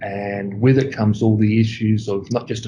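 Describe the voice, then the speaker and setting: A man in an Australian accent, fairly low-pitched and somewhat breathy, with a dark, mellow tone, fairly even intonation and a moderate pace. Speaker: school applications manager. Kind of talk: interview.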